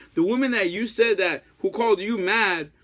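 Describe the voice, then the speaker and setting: A man projects a raised voice at a high pitch with a bright, sharp tone. His intonation is lively against a quiet background. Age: 30s. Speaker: heartbroken ex-boyfriend vlogger. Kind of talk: emotional plea to an ex. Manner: halting. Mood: pleading, emotional, frustrated. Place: home room. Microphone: phone near.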